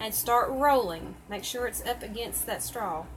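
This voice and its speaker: Against noticeable background noise, a woman talks at a fairly slow pace in a Southern US accent. Her pitch is high. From Tennessee, US South. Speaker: crafter. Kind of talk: tutorial. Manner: chatty, casual.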